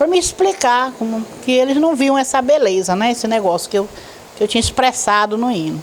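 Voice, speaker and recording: The speech moves at a fairly quick pace with lively intonation. There is noticeable background noise. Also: woman, high pitch for a woman. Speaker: retired teacher and hymn author. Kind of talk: interview. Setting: at her home.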